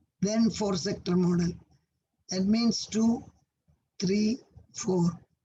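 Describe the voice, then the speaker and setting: A woman's dark, mellow, somewhat breathy voice moves at a very slow pace. Her pitch varies in an ordinary way. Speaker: college lecturer. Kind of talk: online lecture.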